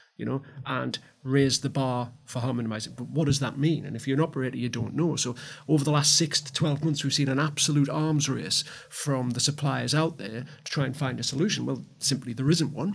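With a Geordie accent, a man talks at a fairly quick pace in a fairly high pitch, his intonation fairly even and his voice showing vocal fry. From Newcastle, north-east England. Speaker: gaming industry consultant. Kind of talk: panel discussion.

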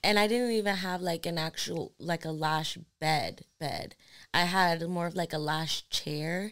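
Recorded very cleanly against a silent background, a woman with a fairly low pitch talks at a fairly slow pace in a plain, everyday voice with ordinary pitch variation. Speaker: podcast host and lash artist. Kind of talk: casual chat.

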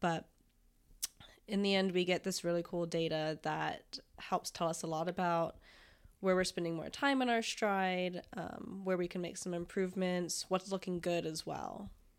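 In a plain, everyday voice, a woman with an American accent talks at a fairly low pitch with fairly even intonation, on a very clean recording with a silent background. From Florida. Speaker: physical therapist. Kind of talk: casual interview chat.

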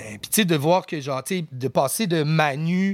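A man with ordinary pitch variation. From Quebec, Outaouais and Rosemère. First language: English (speaking French). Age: 30s. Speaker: rapper. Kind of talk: casual chat.

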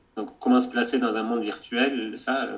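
A man speaks at a very slow pace. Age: 30s. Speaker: documentary filmmaker. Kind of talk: interview. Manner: halting.

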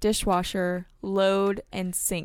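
This woman speaks at a medium pitch. Her tone is playful. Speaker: podcast co-host. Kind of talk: casual chat, word game. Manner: playful, laughs often.

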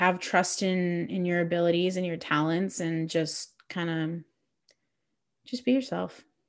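Against a quiet background, a woman with an ordinary speaking voice and a fairly low pitch speaks at a fairly slow pace. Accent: Canadian. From Mississauga, Ontario, Canada. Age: 20s. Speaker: podcast co-host, performer. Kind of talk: casual chat.

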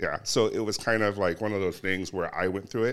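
A man's very deep, low voice with an American accent, on a very clean recording with a silent background. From Southern California. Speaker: police sergeant. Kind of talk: casual interview.

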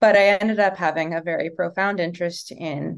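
It is an unremarkable speaking voice with an American accent and fairly even intonation. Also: woman. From Los Angeles, raised by Serbian family. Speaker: design professor. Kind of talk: interview.

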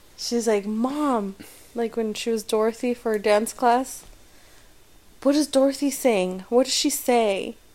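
A woman with a plain, everyday voice and a fairly high pitch speaks at a fairly slow pace with fairly even intonation. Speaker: podcast co-host. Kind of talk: casual chat.

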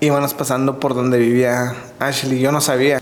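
A man speaks at a moderate pace in a monotone, flat way, with audible room echo and noticeable background noise. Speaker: podcast co-host, husband of the other host. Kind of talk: casual chat.

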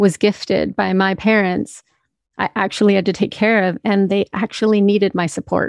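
A woman in an ordinary speaking voice, medium in pitch and fairly even in intonation, at a moderate pace, dry and close with no echo, on a very clean recording with a silent background. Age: 40s. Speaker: podcast host and health practitioner. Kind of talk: solo monologue, personal testimony.

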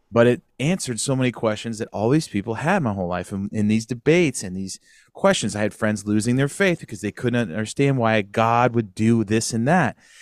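A man with an ordinary speaking voice talks at a medium pitch with lively intonation. The sound is dry and close, with no echo, in a very clean recording with a silent background. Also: hardly any pauses. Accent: American. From Northern California, Sacramento area. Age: 40s. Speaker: podcast host, former musician. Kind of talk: casual chat.

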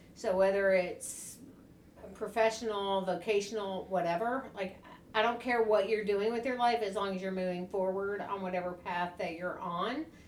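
A woman speaks in a plain, everyday voice with an American accent, at a moderate pace and medium pitch, her intonation fairly even. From US South, Tennessee. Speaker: podcast co-host. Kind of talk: casual chat.

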